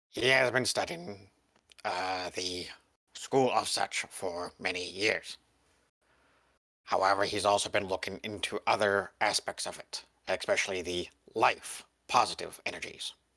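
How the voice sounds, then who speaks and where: Long, frequent pauses break up a raspy, low-pitched, put-on character voice. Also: moderate pace. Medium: actual play. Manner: formal, stilted, measured.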